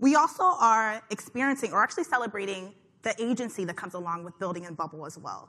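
A woman speaks in a bright, sharp tone. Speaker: conference host. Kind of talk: conference talk. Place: hall. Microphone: headset.

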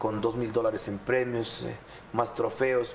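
There is light background noise behind a man speaking at a medium pitch. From Ecuador, Azuay province. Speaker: mayor. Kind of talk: TV interview; interview answer. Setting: studio. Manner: animated. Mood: somber in last clip. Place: studio. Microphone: lapel.

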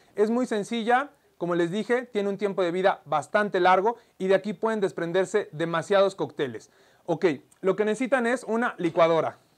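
A high-pitched man's voice at a moderate pace, with ordinary pitch variation and a quiet background. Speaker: bartender host. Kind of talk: tutorial. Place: studio.

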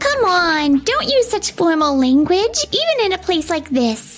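A woman performs a put-on character voice at an extremely high pitch with very wide pitch swings. She keeps a moderate pace over clear music in the background. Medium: fan dub. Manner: warm, casual.

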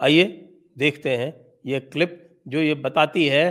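Against a quiet background, a man talks at a very slow pace. His pitch varies in an ordinary way. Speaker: commentator. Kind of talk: commentary. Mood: indignant, critical. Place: studio. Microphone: studio mic.

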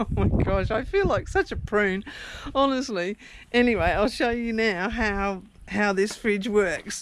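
Speaking at a fairly slow pace, a woman uses ordinary pitch variation. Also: dry sound with no echo. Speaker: van dweller vlogger. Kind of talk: casual vlog chat. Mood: amused, self-deprecating. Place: home room. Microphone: phone near.

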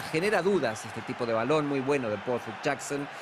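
Noticeable background noise sits behind a man with a fairly high voice. He speaks at a moderate pace with lively intonation. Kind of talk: sports commentary. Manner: analytical, measured co-commentator explaining the play.

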